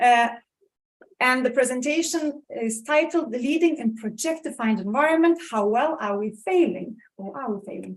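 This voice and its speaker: A woman's high-pitched voice with lively intonation, big swings in loudness, and a moderate pace. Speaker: professor, leadership researcher. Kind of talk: conference keynote talk. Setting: conference stage with audience.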